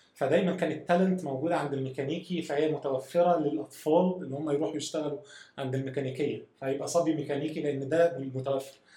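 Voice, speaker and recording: A man's fairly high, somewhat breathy voice with a dark, mellow tone, fairly quick pace and fairly even intonation. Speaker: software engineering manager. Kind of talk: casual chat.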